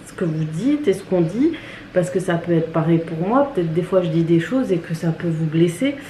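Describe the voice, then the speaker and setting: Noticeable background noise and audible room echo. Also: woman. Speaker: beauty and family vlogger. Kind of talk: casual vlog monologue. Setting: at home, kitchen. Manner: hesitant, many fillers.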